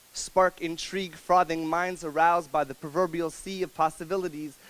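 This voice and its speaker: A high-pitched man at a moderate pace, with noticeable background noise. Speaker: spoken word poet. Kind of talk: spoken word poetry performance. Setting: live coffee house audience.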